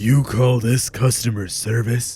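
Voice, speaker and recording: A man uses a put-on character voice, husky and at medium pitch, with fairly even intonation and a fairly slow pace over faint background music. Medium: read story. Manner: calm, unsettling.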